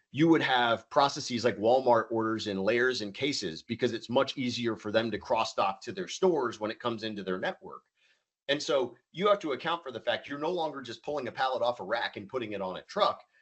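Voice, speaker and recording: A man at medium pitch speaks at a fairly quick pace with lively intonation. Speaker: supply chain software presenter. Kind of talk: webinar presentation. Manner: fast.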